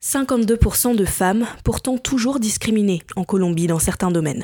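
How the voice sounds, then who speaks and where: Her tone is dark and mellow. This woman's pitch shows ordinary variation. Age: 20s. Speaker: journalist and podcaster. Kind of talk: scripted narration.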